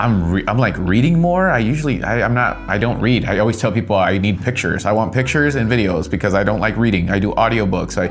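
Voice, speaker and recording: With hardly any pauses, a man speaks very fast at a fairly low pitch, his loudness very even and his intonation lively, amid audible room echo and noticeable background noise. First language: not English. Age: 30s. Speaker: vlogger and photographer. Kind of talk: vlog monologue. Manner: slurs and mashes words; repetitive with many fillers.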